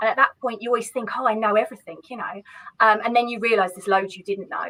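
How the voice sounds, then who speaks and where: A woman talks at a very fast pace. Her pitch is fairly high and her loudness swings widely. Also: ordinary pitch variation. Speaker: accountant. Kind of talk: interview. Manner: animated.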